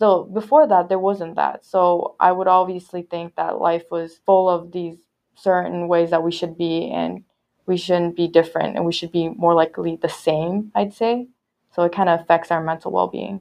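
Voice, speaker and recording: With an unremarkable speaking voice, a woman speaks at a moderate pace, her fairly low pitch carrying fairly even intonation. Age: young. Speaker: social media intern. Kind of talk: casual chat. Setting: in-person studio recording.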